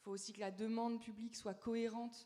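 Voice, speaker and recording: This voice has a dark, mellow tone and a moderate pace. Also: woman. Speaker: youth panelist. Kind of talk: panel discussion. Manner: halting.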